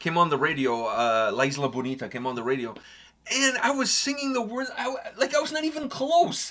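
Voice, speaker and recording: A high-pitched man at a fairly quick pace, with very wide pitch swings and noticeable background noise. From Portugal. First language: Portuguese. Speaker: music reaction show host. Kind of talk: casual chat. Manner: halting.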